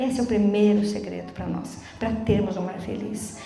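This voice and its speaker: A fairly high-pitched female voice, noticeable background noise and audible room echo around it. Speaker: lay preacher. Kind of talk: sermon. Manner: fast; animated.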